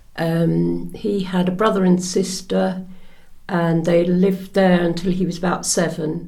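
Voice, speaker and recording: In a room with audible echo, a woman with a dark, mellow, somewhat breathy voice of fairly low pitch speaks at a fairly slow pace in a monotone, flat intonation. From Norfolk, England. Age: 70s. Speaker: interviewee, daughter of Polish soldier. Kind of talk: oral history interview. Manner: hesitant.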